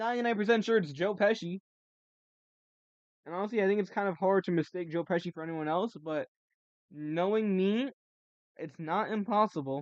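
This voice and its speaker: The pace is fairly quick, broken by long, frequent pauses. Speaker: live streamer / artist. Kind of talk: casual live stream chat while drawing. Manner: rambling with frequent fillers.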